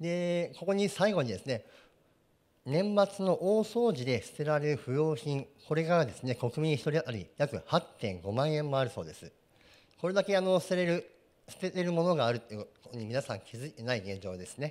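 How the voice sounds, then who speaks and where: At a moderate pace, a man speaks with very wide pitch swings and big swings in loudness. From Japan, Yokohama; Japan. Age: 40s. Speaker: company president; guest. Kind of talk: presentation. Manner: formal. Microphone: handheld.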